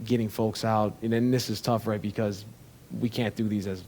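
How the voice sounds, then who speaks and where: A man with a slight Chicago accent speaks at a moderate pace in a fairly low pitch with a dark, mellow tone. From Chicago, US Midwest. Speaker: tech company founder and CEO. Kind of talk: interview conversation.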